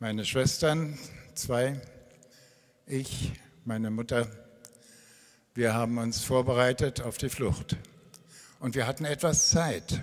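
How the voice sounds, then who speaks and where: Very slowly, with long, frequent pauses, a man speaks at a medium pitch in fairly even intonation. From Berlin (East). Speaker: retired pastor. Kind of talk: testimony. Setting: church stage.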